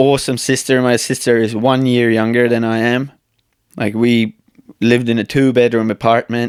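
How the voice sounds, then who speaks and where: With an Estonian accent, a man speaks at medium pitch and a moderate pace in a monotone, flat intonation. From Estonia, countryside. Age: 30s. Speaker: speed flyer and YouTube creator. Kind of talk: casual podcast interview.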